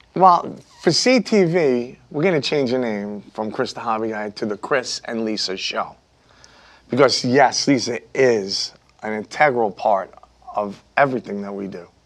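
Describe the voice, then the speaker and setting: Speaking with a Brooklyn accent, a man of medium pitch talks at a fairly slow pace with lively intonation and big swings in loudness. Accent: New York (Brooklyn). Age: 50s. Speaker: YouTube hobby content creator. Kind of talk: studio interview chat. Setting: TV studio.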